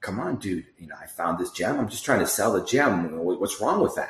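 Using a put-on character voice, a man speaks in a very deep, low, whiny tone at a moderate pace, with ordinary pitch variation and big swings in loudness.

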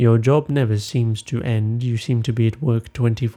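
The reading aloud is plain, and its intonation stays fairly even.

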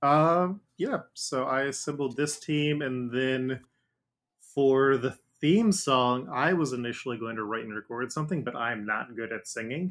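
A man with an American accent has an unremarkable speaking voice at a medium pitch. He talks at a fairly slow pace with ordinary pitch variation. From Ohio, Cincinnati area. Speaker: podcast host and game master. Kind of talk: casual chat.

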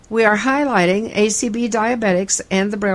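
A woman speaks in a plain, everyday voice at a moderate pace. Her pitch is medium, with ordinary pitch variation. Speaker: podcast host. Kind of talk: news reading.

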